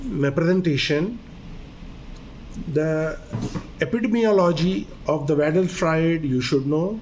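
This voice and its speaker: Speaking in a Pakistani accent, a man with a fairly high pitch uses lively intonation and very even loudness at a fairly slow pace, with long, frequent pauses and audible room echo. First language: Urdu. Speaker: doctor. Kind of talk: lecture.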